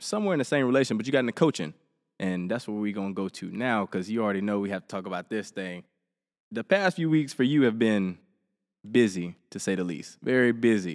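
A man with an Alabama accent speaks very fast at a fairly low pitch, with lively intonation. The recording is very clean, with a silent background. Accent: Southern US (Alabama). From Helena, Alabama, US South. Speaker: podcast host, college athlete. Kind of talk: casual interview.

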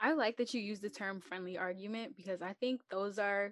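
A woman with an unremarkable speaking voice talks at a fairly quick pace and medium pitch, her intonation fairly even. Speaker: student podcast host. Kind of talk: casual interview.

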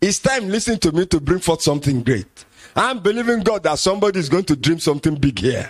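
A man speaks with a Nigerian accent in a high voice. His pitch swings very widely. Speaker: pastor. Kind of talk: sermon.

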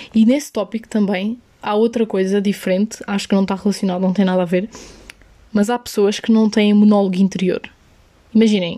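With a European Portuguese accent, a woman speaks at a moderate pace in a medium pitch, her dark, mellow, somewhat breathy voice flat and monotone. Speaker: podcaster. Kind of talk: solo casual monologue. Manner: casual, code-switching into English.

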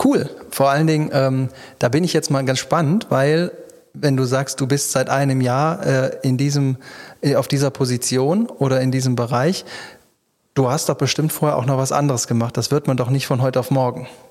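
A man speaks in an unremarkable speaking voice at a medium pitch and a moderate pace, with fairly even intonation and very even loudness. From Düsseldorf. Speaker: podcast host. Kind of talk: interview.

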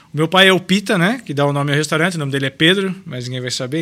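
A man speaks at a very fast pace in a bright, sharp tone. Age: 30s. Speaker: restaurant owner. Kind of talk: casual interview.

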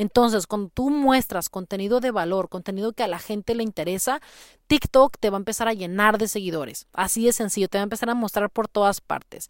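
A woman with a normal speaking voice at a medium pitch and ordinary pitch variation, at a fairly quick pace, in a very clean recording with a dry, close sound, no echo and a silent background. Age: 30s. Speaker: podcast host, marketing consultant. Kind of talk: casual tutorial. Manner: conversational, with frequent fillers.

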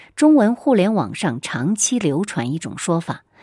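A woman's dark, mellow tone at a fairly slow pace, with very wide pitch swings and a quiet background. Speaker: history podcast host. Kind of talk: scripted narration.

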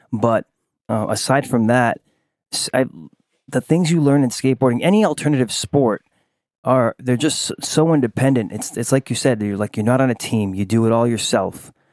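On a very clean recording with a silent background and a dry, close sound with no echo, a man with an American accent uses an ordinary speaking voice at medium pitch, ordinary pitch variation and a moderate pace. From Rhode Island, US. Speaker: artist and small business owner. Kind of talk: interview. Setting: at home with dog present.

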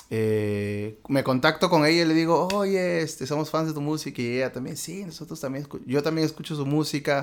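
On a very clean recording with a silent background, a man with a fairly high pitch speaks at a moderate pace with ordinary pitch variation and hardly any pauses. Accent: Peruvian. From Peru, Lima. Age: 30s. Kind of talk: interview testimony. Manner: halting.

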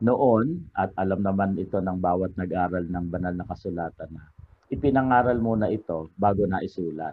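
A man with a Filipino accent speaks in a very deep, low pitch at a moderate pace. His pitch varies in an ordinary way. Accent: Filipino (Tagalog). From Philippines, Cainta Rizal. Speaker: religious devotions author and researcher. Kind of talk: interview.

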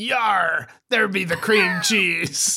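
This put-on character voice is raspy. It sits at a middle pitch. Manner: joking, gruff.

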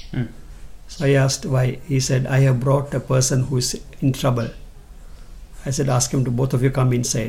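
A man with a medium pitch and a dark, mellow tone speaks at a moderate pace, somewhat breathy and monotone with flat intonation, keeping very even loudness and taking long, frequent pauses. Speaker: pastor and evangelist. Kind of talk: testimony.

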